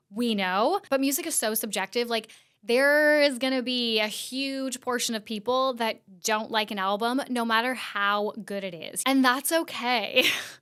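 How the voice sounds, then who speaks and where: A woman with an American accent speaks at a moderate pace in a high pitch, with ordinary pitch variation. Her tone is bright and sharp, and the recording is very clean with a silent background. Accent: often taken for Californian. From Canada. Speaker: podcast host. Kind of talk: casual commentary. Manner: chatty, filler-heavy.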